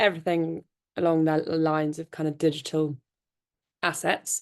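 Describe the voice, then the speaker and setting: A woman speaks with a fairly low pitch over a quiet background. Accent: British. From United Kingdom. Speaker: tech company founder. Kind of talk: panel talk.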